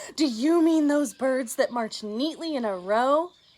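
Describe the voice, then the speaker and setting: A woman speaks loudly in a put-on character voice, pitched high. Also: moderate pace. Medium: read story. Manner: loud, boisterous.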